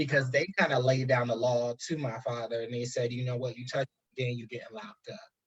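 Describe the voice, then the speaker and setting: The voice has an American accent and fairly even intonation. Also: man. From New Jersey, US. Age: 20s. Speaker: guest, higher education worker. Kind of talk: personal testimony in interview. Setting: live stream video call.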